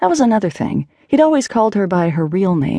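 Reading in a natural way, the voice carries lively intonation.

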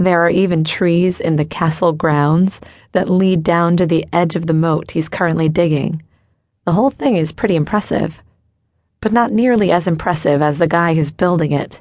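A woman's ordinary speaking voice, fairly low in pitch, with ordinary pitch variation and very even loudness. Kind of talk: dramatic audiobook narration, first-person romance. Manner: hushed, intense, emotionally charged; measured, slow, suspenseful pacing.

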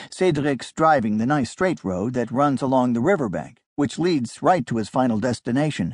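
A man with an unremarkable speaking voice, medium pitch and lively intonation, at a moderate pace with hardly any pauses, against a quiet background. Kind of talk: audiobook narration, dramatic thriller storytelling.

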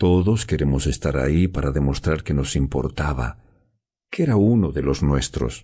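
Solemn in tone, a man speaks at a very deep, low pitch with vocal fry, his dark, mellow voice keeping very even loudness, ordinary pitch variation and a fairly slow pace. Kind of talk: dramatic audiobook narration, first-person teen girl's story. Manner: solemn, emotional, slow and hushed, grief-laden.

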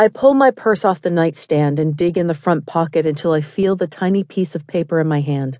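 A woman with a normal speaking voice talks at a fairly quick pace, with hardly any pauses, a fairly low pitch and ordinary pitch variation. The sound is dry and close with no echo, and the background is quiet. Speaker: audiobook narrator. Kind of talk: audiobook narration, first-person romance. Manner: intimate, measured storytelling with a tense, desperate tone.

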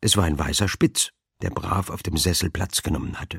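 With a very deep, low voice and a somewhat breathy quality, this man talks at a moderate pace in an animated, playful tone, the sound dry and close with no echo. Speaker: audiobook narrator. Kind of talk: dramatic audiobook narration, reading aloud a humorous crime story. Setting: studio. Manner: animated, playful character voices, drily comic; mimics fussy elderly ladies and a pompous dowager, dramatic pauses.

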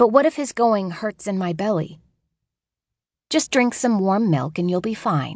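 Against a quiet background, a woman at a medium pitch talks at a fairly slow pace with very wide pitch swings and long, frequent pauses. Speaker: audiobook narrator. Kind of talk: dramatic first-person audiobook narration of a child's voice. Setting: studio. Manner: playful, wide-eyed childlike storytelling; shifts into distinct voices for adult characters.

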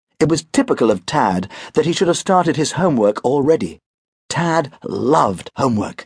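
With a British accent and vocal fry, a man speaks in an animated tone, his pitch swinging very widely. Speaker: audiobook narrator. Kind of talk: dramatic audiobook narration of a children's story. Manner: animated, expressive storyteller voicing characters.

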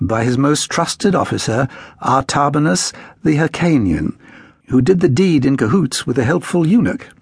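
A man's somewhat breathy voice with a dramatic tone and very wide pitch swings. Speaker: audiobook narrator. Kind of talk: audiobook narration of a history book, read aloud in first person. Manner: dramatic, measured storytelling with a formal, literary tone.

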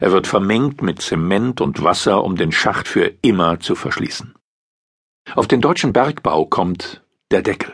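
A man with a plain, everyday voice talks at a fairly slow pace. His pitch sits fairly low, and his intonation is lively. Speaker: audiobook narrator. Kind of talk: formal newsreading, scripted article narration. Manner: formal; even, measured.

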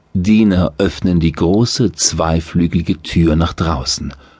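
With a very deep, low pitch, the man talks through steady vocal fry. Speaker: audiobook narrator. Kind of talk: guided meditation. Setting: studio. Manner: slow, soothing, calm.

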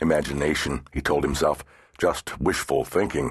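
Against a quiet background, a man with vocal fry speaks at a moderate pace. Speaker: audiobook narrator. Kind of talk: dramatic audiobook narration of a horror novel. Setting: studio. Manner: measured, suspense-building pacing; tense, ominous delivery at the reveal.

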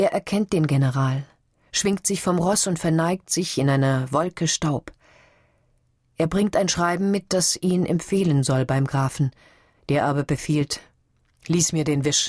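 A woman talks at a fairly slow pace, with long, frequent pauses and ordinary pitch variation. Her tone is animated and dramatic against a quiet background. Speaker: audiobook narrator. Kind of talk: dramatic audiobook narration of literary prose. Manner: animated, expressive, voicing characters with dramatic shifts; measured, lyrical pacing with pauses.

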